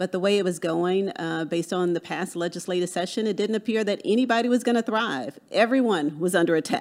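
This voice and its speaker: A woman with a plain, everyday voice speaks at a medium pitch, with ordinary pitch variation. Her pace is fairly quick, with hardly any pauses. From Texas. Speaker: political candidate. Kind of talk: interview.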